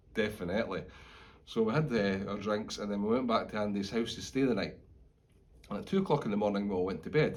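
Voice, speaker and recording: A man with a Scottish accent and a fairly low pitch talks at a very fast pace with ordinary pitch variation. He leaves long, frequent pauses, and audible room echo can be heard. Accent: Scottish (Fife). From Scotland, Fife. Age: 40s. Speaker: retired police officer. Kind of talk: personal testimony. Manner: informal, conversational.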